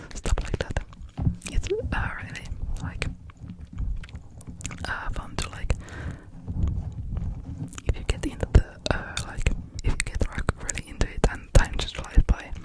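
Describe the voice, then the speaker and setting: The speaker whispers at a fairly slow pace, with long, frequent pauses. Noticeable background noise runs underneath. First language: not English. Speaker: ASMR creator. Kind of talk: ASMR rambling talk. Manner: whispered.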